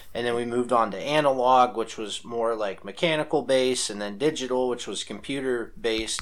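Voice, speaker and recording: A man speaks in a normal speaking voice at a moderate pace and medium pitch. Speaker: podcast co-host. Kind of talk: casual chat.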